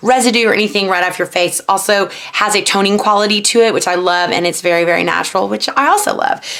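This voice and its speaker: A woman speaks at a fairly quick pace, her pitch varying in an ordinary way, with noticeable background noise around her. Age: 30s. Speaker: reality TV contestant turned vlogger. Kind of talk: tutorial. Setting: bedroom vanity at home. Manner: casual, chatty.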